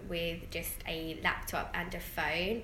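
A woman speaks at a very slow pace with fairly even intonation. Audible room echo and noticeable background noise are present. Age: 20s. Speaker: entrepreneur. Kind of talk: interview.

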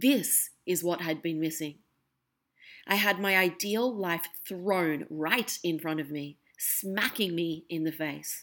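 On a very clean recording with a silent background, a woman with an Australian accent speaks very slowly at a fairly low pitch. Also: ordinary pitch variation. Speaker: podcast host. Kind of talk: personal monologue.

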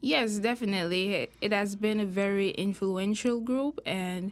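This very clean recording, with a silent background, captures a woman speaking at a medium pitch. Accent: Jamaican. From Jamaica. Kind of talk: interview.

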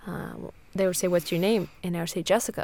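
In a very clean recording with a silent background, a woman speaks at a medium pitch with an American accent. Her tone is dark and mellow, her intonation monotone and flat. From Siberia, Russia (American family). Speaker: podcast co-host. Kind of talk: casual chat.

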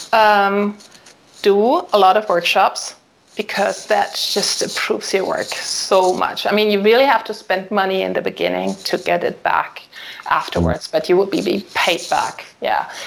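A woman speaks fairly slowly while noticeable noise sits in the background. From Germany, Solingen area. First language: German. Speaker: family and wedding photographer. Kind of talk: casual interview. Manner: hesitant, many fillers.

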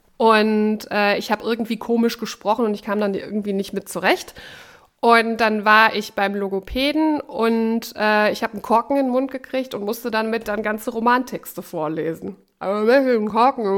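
A woman with an ordinary speaking voice and a fairly high pitch speaks at a moderate pace with ordinary pitch variation. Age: 30s. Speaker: radio host and co-host. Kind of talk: casual chat.

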